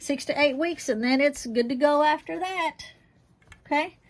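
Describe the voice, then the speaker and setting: A high-pitched woman at a fairly slow pace, with ordinary pitch variation, on a very clean recording over a silent background. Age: 60s. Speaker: home herbalist, channel host. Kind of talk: casual how-to tutorial. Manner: casual, halting with fillers.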